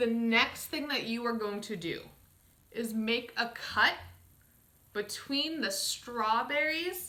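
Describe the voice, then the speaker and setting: Speaking very slowly, a woman uses lively intonation in a fairly high voice. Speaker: dietitian teaching a kids' cooking class; cooking demonstrator. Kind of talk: tutorial. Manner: slightly flustered, stumbling. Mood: cheerful, slightly flustered. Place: home room. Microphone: camera far.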